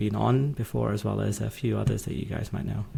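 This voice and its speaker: With a British accent, a man speaks in a fairly low pitch that is somewhat breathy. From UK. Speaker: legal tech executive and podcaster. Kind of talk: podcast interview.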